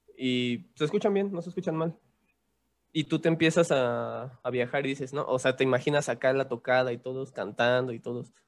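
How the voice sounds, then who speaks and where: A man speaks in an ordinary speaking voice at a fairly high pitch. His pitch variation is ordinary, and his pace moderate. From Mexico City. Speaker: musician. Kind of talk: casual chat.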